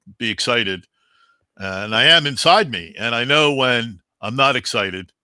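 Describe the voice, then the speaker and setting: Against a quiet background and with a dry sound with no echo, a man speaks at a fairly slow pace in a bright, sharp tone with ordinary pitch variation. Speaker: public address announcer. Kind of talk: interview answer. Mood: reflective, calm. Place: home room.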